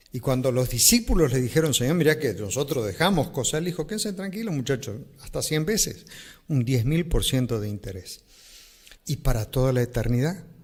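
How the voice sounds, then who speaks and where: A fairly high-pitched, somewhat breathy male voice at a moderate pace, with very wide pitch swings. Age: 60s. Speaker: pastor. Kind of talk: interview answer. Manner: plain, simple speech.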